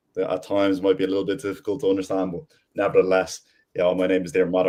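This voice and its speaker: A man with an Irish accent, a dark, mellow tone, fairly low pitch and a very fast pace. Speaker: business development lead. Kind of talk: panel discussion.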